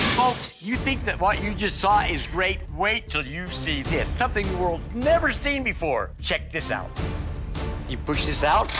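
A man speaks at a fairly slow pace with clear music playing in the background. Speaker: infomercial pitchman. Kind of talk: TV commercial read. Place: studio. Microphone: lapel.

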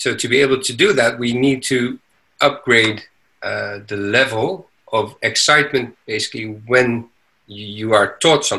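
The background is quiet as a man speaks fairly slowly. His tone is bright and sharp. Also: ordinary pitch variation. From Netherlands, raised abroad. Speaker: entrepreneur; podcast guest. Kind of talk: interview. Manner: halting. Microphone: video call.

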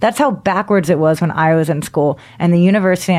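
A woman with an unremarkable speaking voice talks at a fairly quick pace. Her pitch sits fairly low and varies in an ordinary way. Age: 30s. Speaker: stand-up comedian and comedy writer. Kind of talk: casual chat.

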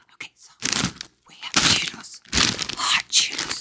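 A woman is speaking. Loud noise fills the background. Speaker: ASMR creator. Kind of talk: ASMR eating video, casual talk to camera. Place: home room. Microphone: studio mic.

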